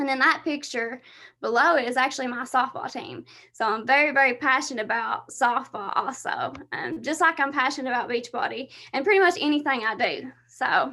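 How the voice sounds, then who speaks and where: Lively intonation carries a raised, projected voice with a bright, sharp tone. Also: woman, high pitch for a woman, fairly quick pace. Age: 20s. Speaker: fitness coach. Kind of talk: presentation on a team video call.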